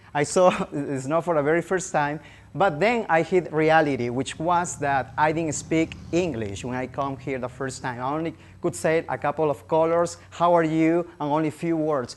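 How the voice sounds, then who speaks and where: The speech comes with a Spanish accent at a moderate pace. The background is quiet. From Peru (Lima). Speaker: language teacher. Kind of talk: public presentation.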